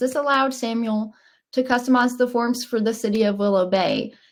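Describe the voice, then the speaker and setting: Speaking with a Southern US accent, a woman keeps a moderate pace at a fairly high pitch, with ordinary pitch variation. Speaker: software company webinar presenter. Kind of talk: webinar presentation. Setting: online webinar.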